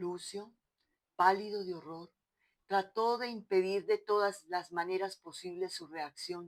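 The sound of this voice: Pitch varies in an ordinary way as an unforced reading voice is heard against a quiet background.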